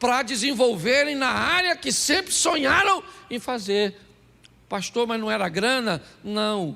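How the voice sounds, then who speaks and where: Projecting a raised voice with a bright, sharp tone, a man speaks fairly slowly at a high pitch with very wide pitch swings. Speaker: pastor. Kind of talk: sermon.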